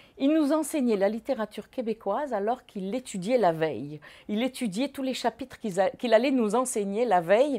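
Her voice is fairly high, dark and mellow, as the woman speaks at a moderate pace with lively intonation. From Morocco. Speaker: former student; interviewee. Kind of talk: testimony. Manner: halting. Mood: calm, reflective reminiscing. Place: home room.

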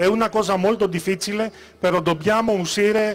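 In a Greek accent, a man with a high-pitched voice talks at a moderate pace using fairly even intonation. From Greece. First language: Greek (speaking Italian). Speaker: political candidate; candidate. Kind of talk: campaign speech. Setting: stage with audience. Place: stage. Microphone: handheld.

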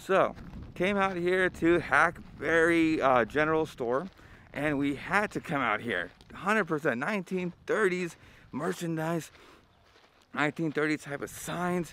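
At a fairly slow pace, a man speaks with a bright, sharp tone and ordinary pitch variation, the sound dry with no echo and light noise behind him. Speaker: travel vlogger. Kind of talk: casual vlog chat. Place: street. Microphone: phone near.

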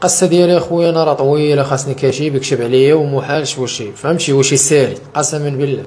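Fairly quick, fairly high-pitched speech from a man, with fairly even intonation and hardly any pauses. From Morocco. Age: 30s. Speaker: interviewee. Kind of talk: testimony. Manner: halting. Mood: sad, earnest. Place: home room. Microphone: handheld.

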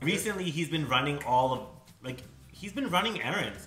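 A man talks with light background noise behind him and room echo that can be heard. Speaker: home cook host. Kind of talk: casual cooking tutorial chat. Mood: playful, relaxed. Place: kitchen. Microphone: camera far.

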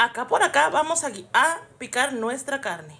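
There is light background noise behind a woman's voice. She speaks at a high pitch with ordinary pitch variation. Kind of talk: tutorial. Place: kitchen. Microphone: phone near.

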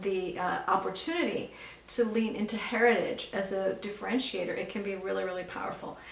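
A woman talks at a fairly quick pace, with audible room echo around her voice. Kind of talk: educational vlog talk to camera. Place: home room.

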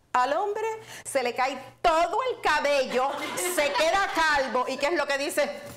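The speaker talks at a fairly slow pace with lively intonation. Noticeable background noise runs underneath. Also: woman, high pitch for a woman. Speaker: online show host. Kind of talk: casual livestream chat. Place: home room. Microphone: lapel.

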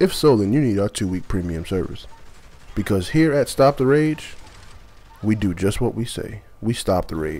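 A man with an ordinary speaking voice, fairly low pitch, lively intonation, and a moderate pace. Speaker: gaming video creator. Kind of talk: mock infomercial pitch parodying a rage-cure hotline. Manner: exaggerated salesman cadence, repeating the hotline number; explosive cursing outbursts at the game.

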